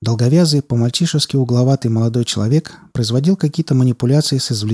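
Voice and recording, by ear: The voice is reading aloud in a natural voice. Its pitch moves in an ordinary way.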